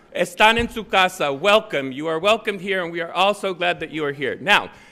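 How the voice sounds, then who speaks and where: A high-pitched man's raised, projected voice, bright and sharp, fairly quick, with lively intonation. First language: Spanish. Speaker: law school dean. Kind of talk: commencement speech. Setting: stage with audience. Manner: formal.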